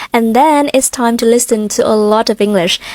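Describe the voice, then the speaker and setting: A woman's fairly high voice at a fairly quick pace, with fairly even intonation, dry and close with no echo, amid noticeable background noise. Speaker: English pronunciation tutor. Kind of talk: tutorial. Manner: clear.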